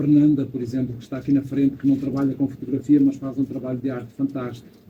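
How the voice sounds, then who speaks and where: With a European Portuguese accent, a man talks very fast at medium pitch in a monotone, flat intonation. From Portugal. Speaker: photographer, photo club member. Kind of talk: audience remarks at photo club event. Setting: event hall with audience.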